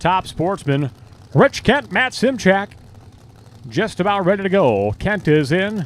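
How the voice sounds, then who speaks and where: Loud and very slow, this voice carries lively intonation. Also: man. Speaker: drag racing track announcer. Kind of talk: live commentary; PA announcements to racers. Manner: loud, raised to carry over engines.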